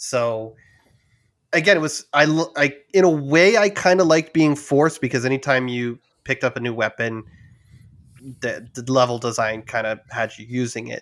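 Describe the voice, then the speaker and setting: Here a man speaks at medium pitch and a moderate pace with ordinary pitch variation, long, frequent pauses, and big swings in loudness. The recording is very clean, with a silent background. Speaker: podcast co-host. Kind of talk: casual chat.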